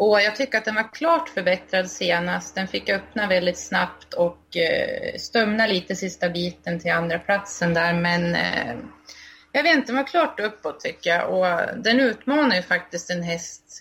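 In an ordinary speaking voice, a woman talks at a moderate pace with medium pitch and ordinary pitch variation. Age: 20s. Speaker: harness racing blogger. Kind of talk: casual chat.

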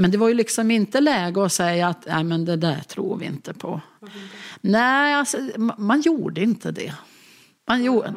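Using an unremarkable speaking voice at a medium pitch, a woman talks with lively intonation and big swings in loudness. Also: moderate pace. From Jämtland, Sweden. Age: 60s. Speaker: local politician. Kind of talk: interview. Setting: kitchen table in an apartment.

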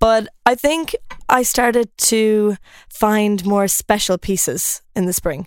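Dry and close with no echo, a woman speaks very slowly with an Irish accent, her fairly high pitch showing ordinary pitch variation. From Ireland. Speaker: fashion influencer and former law student. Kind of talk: casual chat. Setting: studio.

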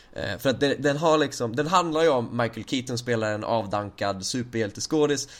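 Man with an unremarkable speaking voice, ordinary pitch variation and a moderate pace. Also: medium pitch for a man. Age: 20s. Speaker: podcast host. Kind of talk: casual chat.

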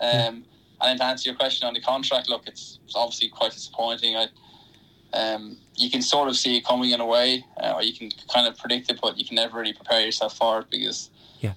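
Speaking very fast in a Wexford Irish accent, a man keeps a medium pitch and monotone, flat intonation over noticeable background noise. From Ireland, County Wexford. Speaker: professional athlete. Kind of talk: radio interview. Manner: halting, many fillers.

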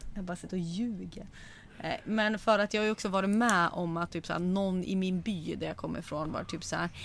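A woman talks at a fairly quick pace and medium pitch in a very clean recording with a silent background. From Sweden, Sundsvall area (Medelpad). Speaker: podcast host. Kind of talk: casual chat. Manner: animated.

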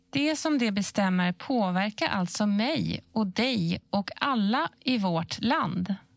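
Speaking at a very slow pace with hardly any pauses, a woman uses a medium pitch and lively intonation, her loudness very even and the sound dry and close with no echo. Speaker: questioner in information series. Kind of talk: scripted explainer dialogue.

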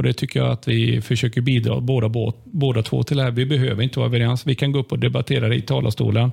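In a dry, close recording with no echo, a man talks at a very fast pace with hardly any pauses and very even loudness. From Sweden, Limared (Västergötland). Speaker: opposition politician. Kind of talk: casual chat. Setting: office rigged as studio. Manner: halting.

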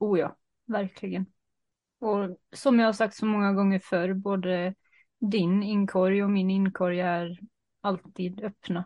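The intonation of this woman is monotone and flat. She talks at a fairly slow pace. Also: medium pitch for a woman. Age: 30s. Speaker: podcast co-host. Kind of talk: casual chat. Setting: video call.

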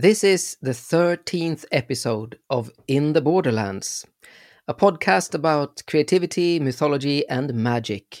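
A man with a Swedish accent, fairly high in pitch, at a fairly slow pace with lively intonation, in a dry, close sound with no echo and a very clean recording with a silent background. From Sweden. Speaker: performance storyteller, podcast host. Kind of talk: podcast introduction.

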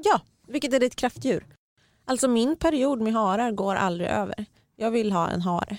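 Here is a woman with a normal speaking voice, fairly high in pitch and lively in intonation. She talks at a moderate pace in a dry, close sound with no echo. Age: 30s. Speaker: podcast host, magazine journalist. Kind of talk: casual chat.

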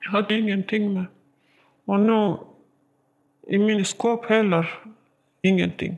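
A woman's monotone, flat delivery at a fairly slow pace, broken by long, frequent pauses. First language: not Swedish (speaking Swedish). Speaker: prison inmate. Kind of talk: interview testimony. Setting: prison visiting room. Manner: halting.

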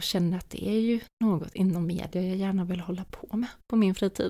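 A woman's medium-pitched, dark and mellow voice at a fairly quick pace, with fairly even intonation. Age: 20s. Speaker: podcast host. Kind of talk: solo monologue.

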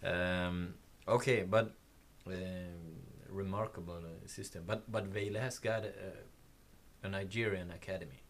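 In a Swedish accent, a man speaks at a fairly slow pace in a very deep, low voice, with fairly even intonation and big swings in loudness. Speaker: podcast host. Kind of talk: interview. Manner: halting.

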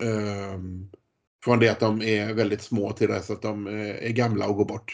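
The man's voice sits fairly low in pitch and stays monotone, with flat intonation. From Sweden, Gothenburg. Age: 40s. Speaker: politician and former para swimmer. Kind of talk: interview.

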